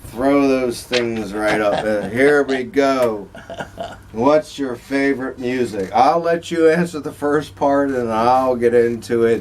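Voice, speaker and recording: Against noticeable background noise, the speaker moves at a very slow pace with ordinary pitch variation. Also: man, medium pitch for a man. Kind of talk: casual talk to camera.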